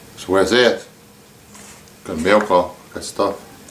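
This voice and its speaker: Against noticeable background noise, a man with a very deep, low pitch speaks very slowly in a relaxed tone with monotone, flat intonation. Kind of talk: casual talk to camera. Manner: stammer; relaxed, casual.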